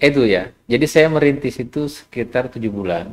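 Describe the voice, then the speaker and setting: Here is a man with a plain, everyday voice and lively intonation. He speaks at a moderate pace with medium pitch. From South Sulawesi, Indonesia (Bulukumba). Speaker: business founder. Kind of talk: podcast interview.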